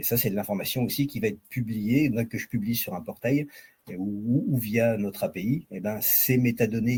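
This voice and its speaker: A man speaks at a moderate pace with a medium pitch, ordinary pitch variation, and a somewhat breathy quality. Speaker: software vendor presenter. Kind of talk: product demo.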